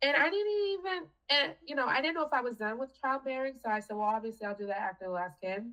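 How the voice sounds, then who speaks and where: Very fast and high-pitched, a woman with a Boston accent swings her pitch very widely. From Boston, Haitian American. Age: 40s. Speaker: cancer survivor. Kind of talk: casual chat.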